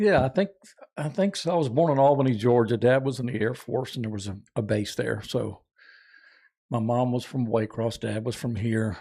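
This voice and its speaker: Talking at a moderate pace, a man with a North Florida accent has a medium pitch and ordinary pitch variation. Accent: Southern US (North Florida). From North Florida, Jacksonville. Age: 60s. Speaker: outdoorsman and tournament angler. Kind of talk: casual chat.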